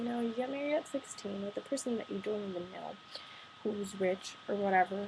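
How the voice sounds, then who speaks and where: Noticeable background noise accompanies a woman talking at a moderate pace, her intonation fairly even. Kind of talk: casual talk to camera, partly read from notes. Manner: a bit monotone.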